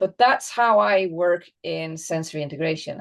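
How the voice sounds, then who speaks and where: A fairly slow pace with a Flemish Belgian accent. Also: woman. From Belgium (Flanders). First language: Dutch (Flemish). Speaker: dog trainer and behaviorist. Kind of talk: interview conversation. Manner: halting, with repetitions.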